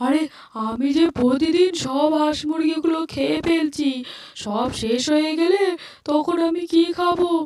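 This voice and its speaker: A cartoonish character voice, extremely high in pitch, at a fairly slow pace. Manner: gleeful, muttering to himself.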